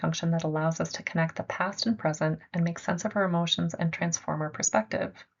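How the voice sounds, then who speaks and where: This woman's voice is somewhat breathy and fairly low, with fairly even intonation. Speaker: art therapy presenter. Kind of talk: lecture. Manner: fast.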